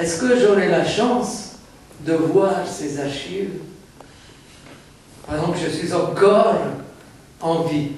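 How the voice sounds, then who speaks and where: A man at a high pitch with ordinary pitch variation, at a very slow pace with long, frequent pauses, amid noticeable background noise and audible room echo. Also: big swings in loudness. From Egypt, Alexandria. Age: 70s. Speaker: audience member asking a question. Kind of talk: public question at a formal event.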